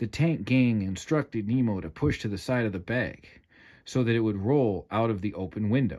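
The voice is reading aloud in a natural voice. Its pitch varies in an ordinary way.

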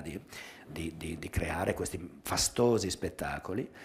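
A man with a very deep, low pitch talks at a fairly slow pace, sounding somewhat breathy. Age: 60s. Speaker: dance journalist and magazine editor; dance journalist. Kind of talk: public talk with video commentary. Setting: theatre with live audience. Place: hall. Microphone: headset.

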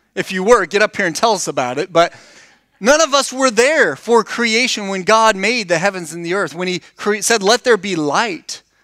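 A man speaks in a raised, projected voice with a bright, sharp tone at a moderate pace. The sound is dry with no echo, over a quiet background. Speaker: preacher. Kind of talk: sermon. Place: church. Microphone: headset.

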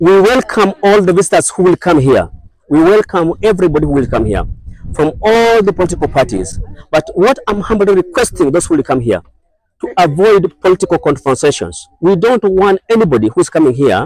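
Lively intonation marks a man's high voice at a fairly quick pace. The sound is dry with no echo. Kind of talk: press statement. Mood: earnest, solemn request. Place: open country. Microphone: lapel.

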